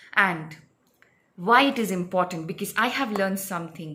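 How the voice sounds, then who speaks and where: A woman's bright, sharp voice in a non-native accent, with ordinary pitch variation. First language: not English. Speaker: spiritual healer and psychic reader. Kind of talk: casual explainer talk to camera. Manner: hesitant, many fillers.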